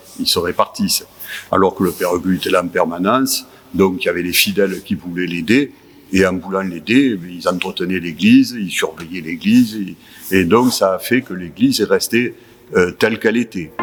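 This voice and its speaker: Noticeable background noise is present throughout. A man speaks over it at a moderate pace. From southern France, Marseille area. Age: 70s. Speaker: church association volunteer, retiree. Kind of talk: interview testimony. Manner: halting, many hesitations.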